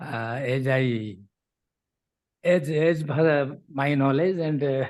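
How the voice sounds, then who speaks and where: Ordinary pitch variation comes through as the speaker goes at a very slow pace. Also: man, fairly high pitch for a man. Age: 70s. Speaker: retired education professor. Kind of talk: closing remarks at an online conference. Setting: video call. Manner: halting, many fillers.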